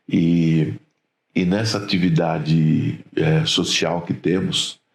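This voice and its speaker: This man has a very deep, low voice. He speaks at a very slow pace. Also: ordinary pitch variation. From Brazil, Rio Claro, São Paulo state. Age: 60s. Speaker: trade union leader. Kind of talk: interview.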